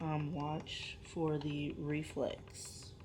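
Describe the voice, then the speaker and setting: Very deep and low-pitched, a woman's somewhat breathy voice carries audible room echo. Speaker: vlogger, mother of a preemie in NICU. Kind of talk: casual vlog. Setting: hospital NICU room. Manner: soft-spoken.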